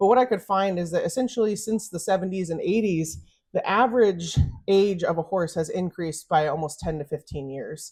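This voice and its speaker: A woman's somewhat breathy voice sits at medium pitch with ordinary pitch variation. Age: 30s. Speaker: veterinarian. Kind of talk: presentation to an audience. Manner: casual, filler-heavy.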